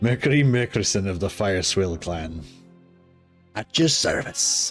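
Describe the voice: Doing a put-on character voice in a Scottish accent, a man speaks fairly slowly and at fairly low pitch as faint music plays in the background.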